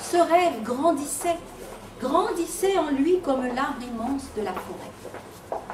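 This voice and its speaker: Against noticeable background noise, a woman speaks at a very slow pace with a high pitch and lively intonation. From Réunion. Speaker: storyteller. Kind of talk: live storytelling to children. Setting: live audience.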